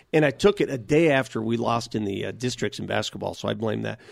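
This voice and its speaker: On a very clean recording with a silent background, a man with an American accent talks at a fairly quick pace and medium pitch, showing vocal fry and ordinary pitch variation. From US, North Denver, Colorado. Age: 50s. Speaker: sports radio host. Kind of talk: casual interview.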